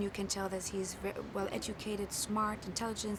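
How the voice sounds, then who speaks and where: A woman speaks at a fairly quick pace and medium pitch, with audible room echo and noticeable background noise. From Germany. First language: German. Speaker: film actor. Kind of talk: press interview.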